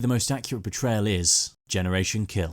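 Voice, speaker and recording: A British-accented man talks at a fairly quick pace. The recording is very clean, with a silent background. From Britain. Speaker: army veteran and film commentator. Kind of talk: video essay narration.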